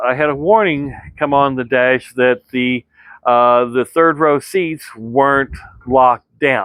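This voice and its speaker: Speaking very slowly, a man uses a medium pitch with ordinary pitch variation. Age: 60s. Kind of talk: casual vlog review. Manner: halting, many fillers.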